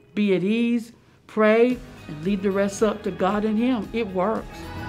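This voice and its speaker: Over faint background music, a woman talks at a fairly slow pace with fairly even intonation. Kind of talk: interview answer. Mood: happy, grateful. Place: office.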